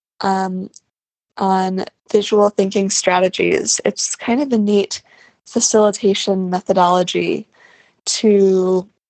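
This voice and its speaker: Relaxed in tone, a woman speaks at a very slow pace with a medium pitch, fairly even intonation and long, frequent pauses. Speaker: podcaster, audio diarist. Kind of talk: personal audio diary, casual monologue. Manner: relaxed, with frequent um fillers.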